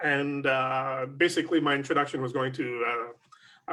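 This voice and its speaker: With a French accent, a man talks at a medium pitch and a moderate pace, his intonation fairly even. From Canada, Montreal, Quebec. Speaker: SCA prince. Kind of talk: interview. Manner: hesitant, many fillers.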